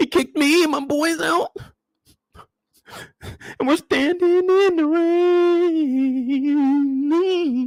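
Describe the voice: In a soft-spoken, high-pitched put-on character voice, the speaker goes at a very slow pace with long, frequent pauses.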